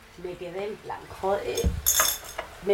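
A woman talks at a moderate pace. Audible room echo and noticeable background noise surround her voice. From Equatorial Guinea. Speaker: trap musician. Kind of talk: casual interview.

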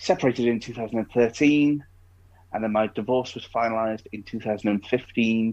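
Against a quiet background, a man with an East Midlands accent speaks very slowly at medium pitch, his intonation fairly even and his loudness swinging widely. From Derbyshire, England. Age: 20s. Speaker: blind podcast guest. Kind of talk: casual interview chat.

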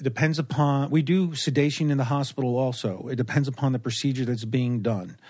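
A man with an ordinary speaking voice talks at a fairly quick pace, with hardly any pauses. His pitch is medium, with ordinary pitch variation. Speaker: anesthesiologist. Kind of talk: casual chat. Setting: at home.

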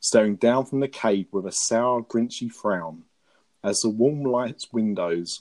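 Against a quiet background, a natural voice reads aloud, its pitch varying in an ordinary way.

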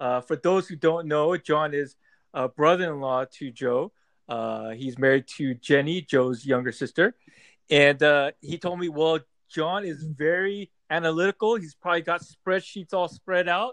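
A man uses a normal speaking voice, fairly high in pitch, with ordinary pitch variation at a moderate pace. The sound is dry and close with no echo. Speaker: fantasy football podcast host. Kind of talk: casual podcast chat.

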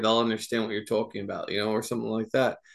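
The background is quiet. The speaker has an American accent. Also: man. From New Jersey. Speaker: nonprofit board member. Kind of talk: interview.

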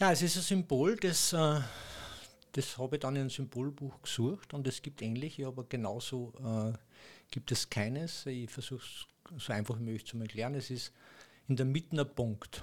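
A man with an Austrian accent and a somewhat breathy voice speaks at a medium pitch, with long, frequent pauses. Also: ordinary pitch variation, moderate pace, very clean recording, silent background. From Austria, Upper Austria. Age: 60s. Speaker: acupuncture massage therapist. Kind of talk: casual interview.

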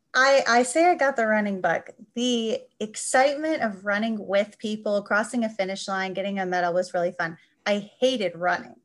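Speaking in an American accent, a woman uses lively intonation at a moderate pace. Hers is an unremarkable speaking voice, fairly high in pitch. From US Midwest, Chicago suburbs. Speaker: journal editor. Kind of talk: casual chat. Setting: video call.

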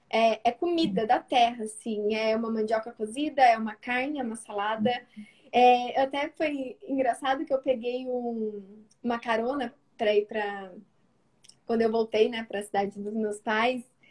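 Her intonation stays fairly even and her pitch fairly high. The woman has an ordinary speaking voice. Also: moderate pace. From rural Brazil. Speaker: nutritionist running a mentoring program. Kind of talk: live video interview.

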